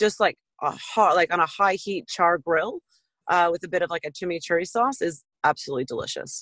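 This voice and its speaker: With an American accent and a normal speaking voice, the speaker talks at a fairly quick pace with ordinary pitch variation, the sound dry and close with no echo. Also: woman. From US West Coast. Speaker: butcher and chef. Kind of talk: casual interview.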